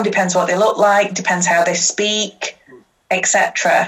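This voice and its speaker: A woman speaks with a Yorkshire accent. Her pace is fairly slow. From Yorkshire, Huddersfield. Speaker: social justice activist. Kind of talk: casual interview chat.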